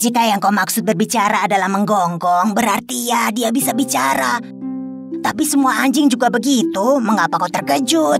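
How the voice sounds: Over clear music in the background, a woman at medium pitch uses a cartoonish character voice at a moderate pace.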